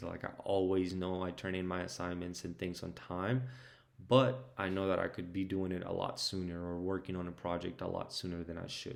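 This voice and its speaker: In a Spanish accent, a man with a very deep, low pitch talks at a moderate pace with fairly even intonation. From Mexico, moved to Georgia US at 12. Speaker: restaurant team leader. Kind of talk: mock job interview answers. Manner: hesitant, many fillers.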